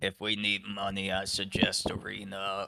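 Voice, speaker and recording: A raspy, put-on character voice with monotone, flat intonation at a moderate pace. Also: man, fairly low pitch for a man. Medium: actual play. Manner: broken, clipped simple sentences.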